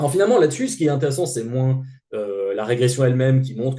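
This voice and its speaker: Using ordinary pitch variation, a man speaks at a medium pitch with a dark, mellow tone. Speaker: sociologist. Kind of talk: lecture. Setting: seminar. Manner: halting.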